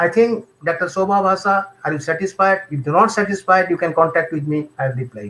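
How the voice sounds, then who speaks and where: Here a man speaks with a Bengali accent at a fairly quick pace. His voice is high in pitch, with a bright, sharp tone. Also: ordinary pitch variation. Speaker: homeopathic doctor. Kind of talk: lecture with Q&A. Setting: live online webinar. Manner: halting, repetitive.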